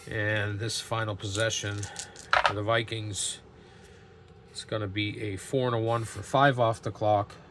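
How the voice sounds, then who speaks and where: Over noticeable background noise, a man speaks in a flat monotone at a fairly slow pace, with long, frequent pauses. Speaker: tabletop game YouTuber. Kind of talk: solo tabletop game playthrough commentary; video outro. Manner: halting, with fillers.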